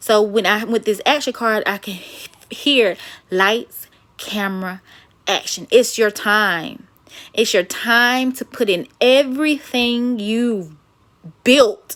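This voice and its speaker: A very slow woman's voice, fairly high in pitch, with ordinary pitch variation and big swings in loudness. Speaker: tarot card reader and metaphysical minister. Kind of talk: intuitive card reading; reading aloud. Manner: stuttering, halting; long-winded, casual.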